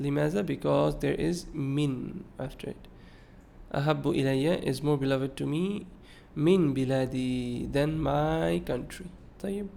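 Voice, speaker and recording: With a Bengali accent, a man speaks very slowly at a fairly high pitch, with a dark, mellow tone. His pitch varies in an ordinary way, and the room echo is audible. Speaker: Arabic and hadith teacher. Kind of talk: lecture. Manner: mixes Arabic and English, with hesitations.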